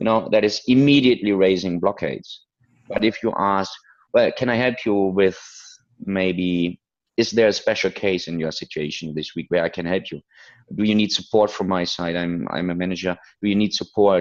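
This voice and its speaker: Against a quiet background, a man talks at a moderate pace. His voice sits fairly low. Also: ordinary pitch variation. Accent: non-native. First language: not English. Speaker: business consultant. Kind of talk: interview. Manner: halting.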